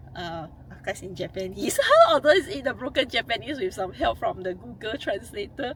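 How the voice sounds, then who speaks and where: A woman talks at a moderate pace with noticeable background noise. Her pitch rises and falls very widely. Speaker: travel vlogger. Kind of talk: vlog narration. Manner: stuttering.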